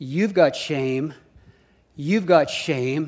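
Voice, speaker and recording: This man's voice sits at a high pitch. He talks at a fairly slow pace. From Canada. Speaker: guest preacher. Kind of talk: sermon. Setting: church.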